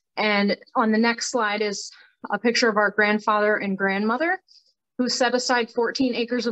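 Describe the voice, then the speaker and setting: Here a woman speaks at a fairly quick pace with an Upper Midwest accent. Her fairly high voice carries fairly even intonation. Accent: Upper Midwest American. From northeast Iowa (Howard County). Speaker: community activist. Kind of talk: presentation with slides.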